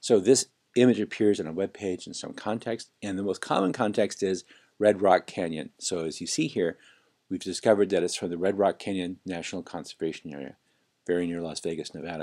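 A man with a General American accent talks at a fairly quick pace, his very deep, low voice dark and mellow, with ordinary pitch variation. His loudness swings widely against a quiet background. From Los Angeles. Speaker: online course instructor. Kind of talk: screencast tutorial. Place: home room.

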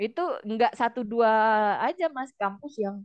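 Against a quiet background, a woman talks at a moderate pace with lively intonation. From Indonesia. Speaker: nurse and document processing consultant; guest. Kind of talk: casual interview. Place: home room. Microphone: headset.

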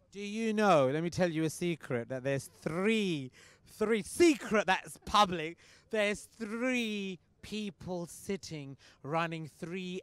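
Fairly slowly, a man speaks in a high pitch with an animated tone and lively intonation. His loudness swings widely. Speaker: cricket league host and presenter. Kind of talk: live event hosting and interviews. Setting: outdoors at cricket ground under floodlights.

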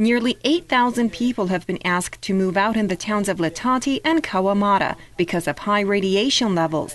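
A woman with an unremarkable speaking voice talks at medium pitch and a moderate pace, with lively intonation. Her loudness stays very even, and she hardly pauses. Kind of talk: news reading. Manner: formal, steady, measured newsreader delivery.

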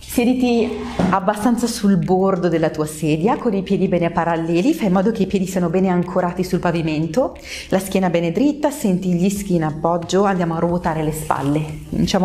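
With very even loudness and ordinary pitch variation, a woman speaks at a fairly quick pace over light background noise. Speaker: pilates instructor. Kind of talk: exercise class instruction. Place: empty room.

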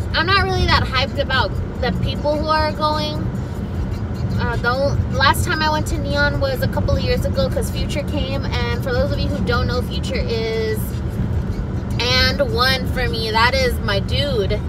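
Loud background noise surrounds a woman whose voice sounds dry, with no echo. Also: moderate pace. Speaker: vlogger. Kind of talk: casual vlog chat. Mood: chatty, animated. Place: car. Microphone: phone near.

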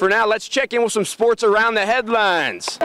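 Over noticeable background noise, a raised, projected voice comes across upbeat and energetic at a fairly quick pace. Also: man. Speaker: TV sports reporter. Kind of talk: local TV sports news report and live interview. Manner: upbeat, energetic broadcast delivery.

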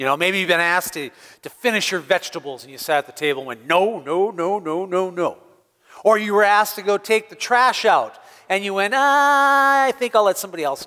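Projecting a raised voice with a bright, sharp tone, a man speaks at a fairly quick pace with big swings in loudness over a quiet background. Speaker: pastor. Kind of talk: children's sermon. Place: church.

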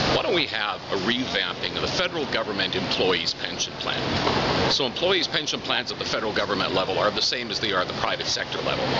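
Someone talks at a very fast pace against loud background noise. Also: man. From Canada. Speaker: former talk radio host. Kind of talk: interview answer. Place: shop. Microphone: phone near.

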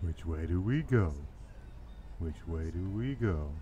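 A man's put-on character voice, very deep and low, at a fairly slow pace amid clear background noise. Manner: cartoonish.

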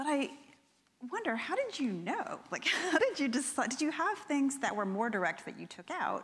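Using very wide pitch swings, a woman speaks at a high pitch and a moderate pace. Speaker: creative writing professor. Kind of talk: onstage interview conversation. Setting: stage with audience. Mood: thoughtful, curious. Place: stage.

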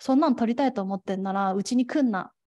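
A woman with a fairly high pitch and a dark, mellow tone sounds somewhat breathy against a quiet background. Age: 20s. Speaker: gender equality activist; speaker. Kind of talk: lecture. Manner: formal. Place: hall.

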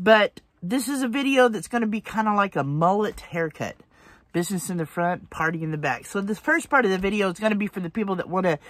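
Recorded dry with no echo and a quiet background, a woman talks at a fairly quick pace. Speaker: van life vlogger. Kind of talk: casual vlog chat. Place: car. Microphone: phone near.

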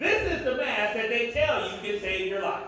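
This man's voice sits high and moves at a fairly slow pace. Strong room echo and light background noise surround it. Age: 50s. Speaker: pastor; preacher. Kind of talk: sermon. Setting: church. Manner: animated. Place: church.

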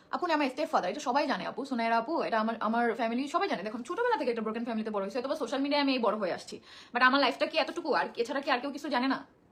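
Noticeable background noise sits under a voice with lively intonation. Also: woman, high pitch for a woman. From Bangladesh, Barguna. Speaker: social media personality. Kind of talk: personal testimony to viewers.

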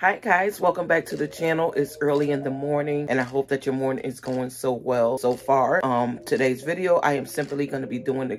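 A woman speaks at a very deep, low pitch with ordinary pitch variation. Her pace is fairly quick with hardly any pauses, over light background noise. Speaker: lifestyle vlogger. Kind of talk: casual vlog chat. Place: home room. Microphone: phone near.

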